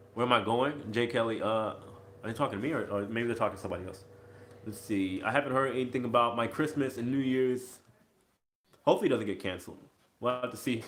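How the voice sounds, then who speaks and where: A man with an American accent and a medium pitch talks at a very fast pace, with ordinary pitch variation, long, frequent pauses and audible room echo. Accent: mild Chicago accent; viewers ask if Southern. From US Midwest, Chicago. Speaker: cruise ship crew vlogger. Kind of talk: live-stream Q&A. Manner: casual, halting.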